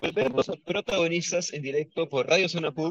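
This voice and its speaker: A man's somewhat breathy, very fast speech with ordinary pitch variation, in a dry, close sound with no echo. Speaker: university radio host. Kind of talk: radio interview. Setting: radio studio.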